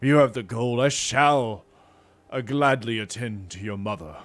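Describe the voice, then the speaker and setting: A man speaks in a put-on character voice. His pitch sits in the middle range. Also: moderate pace, ordinary pitch variation. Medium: read story. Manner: nervous.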